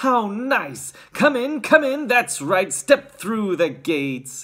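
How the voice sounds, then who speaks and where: Putting on a character voice, a man speaks at high pitch and a very slow pace, with very wide pitch swings. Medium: read story. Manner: exuberant.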